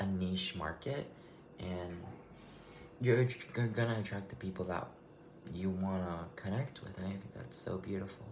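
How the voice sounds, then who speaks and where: Over noticeable background noise and audible room echo, a man with a very deep, low pitch speaks at a moderate pace with long, frequent pauses. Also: ordinary pitch variation. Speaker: vlogger. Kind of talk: casual monologue. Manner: loud; halting, rambling delivery.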